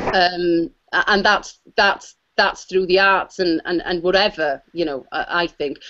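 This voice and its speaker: In a Welsh accent, a woman speaks at a fairly slow pace and a medium pitch. Her tone is bright and sharp, with fairly even intonation. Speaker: musician and actor. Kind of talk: panel discussion. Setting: video call. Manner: halting.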